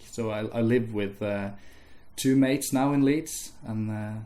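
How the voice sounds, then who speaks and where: A man speaks with a Norwegian accent. His pitch moves with ordinary variation. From Norway. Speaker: music student. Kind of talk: casual interview. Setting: interviewer's house. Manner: slow-paced in English; hesitant, with fillers and repeats.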